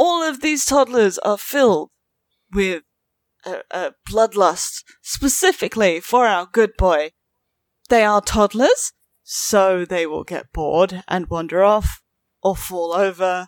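With a British accent and lively intonation, a woman speaks at a very slow pace and medium pitch on a very clean, dry, close recording with no echo and a silent background. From Britain. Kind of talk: casual banter.

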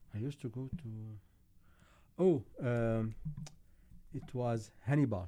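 Speaking with an Arabic accent, a man uses a medium pitch and a dark, mellow tone with ordinary pitch variation. His pace is fairly slow, with long, frequent pauses. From Syria. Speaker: engineer. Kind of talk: casual chat.

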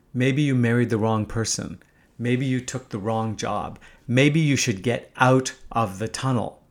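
With an ordinary speaking voice, a man at medium pitch talks at a fairly slow pace and with fairly even intonation. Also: very clean recording, silent background. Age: 50s. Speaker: podcast host and entrepreneur. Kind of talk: monologue essay reading.

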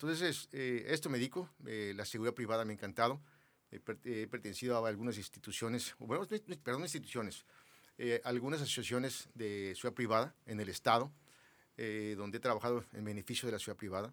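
Man at a very fast pace and medium pitch. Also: ordinary pitch variation. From Mexico City. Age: 60s. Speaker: businessman, former public security committee head. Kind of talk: interview.

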